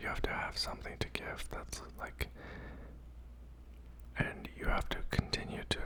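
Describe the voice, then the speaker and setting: Someone whispers over noticeable background noise. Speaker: ASMR content creator doing a mukbang. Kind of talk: casual talk to camera, ranting opinion commentary. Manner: whispered, soft.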